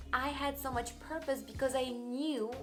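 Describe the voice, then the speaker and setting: Audible room echo surrounds the voice. It moves at a fairly slow pace with ordinary pitch variation. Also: woman. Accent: Russian. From Russia. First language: Russian. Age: young. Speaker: YouTuber and life coach. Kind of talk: personal vlog monologue.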